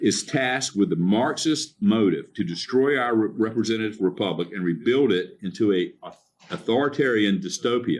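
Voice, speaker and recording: Medium-pitched man at a moderate pace with ordinary pitch variation. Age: 60s. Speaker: county commissioner. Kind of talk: public meeting speech, partly read from notes. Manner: halting with fillers and restarts.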